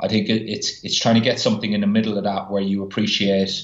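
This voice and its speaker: Very fast speech with an Irish accent. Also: man. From Ireland. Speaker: physiotherapist. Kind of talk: podcast interview.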